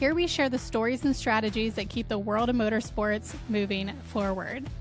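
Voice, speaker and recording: Music plays in the background as a woman speaks at a moderate pace, her fairly high voice showing ordinary pitch variation. Her loudness stays very even. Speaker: podcast host. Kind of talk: podcast host intro and interview questions.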